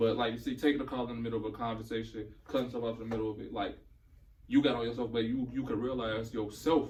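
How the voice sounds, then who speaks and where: A man talks at a very fast pace and a medium pitch, somewhat breathy, in a monotone, flat intonation. Audible room echo surrounds his voice. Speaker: podcast guest. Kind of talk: casual chat.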